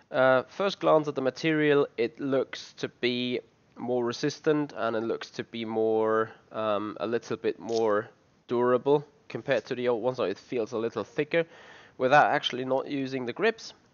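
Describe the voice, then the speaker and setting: A man talks at medium pitch in a non-native accent. His pitch varies in an ordinary way. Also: moderate pace. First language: not English. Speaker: sim racing channel host. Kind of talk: product unboxing review. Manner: halting, many fillers.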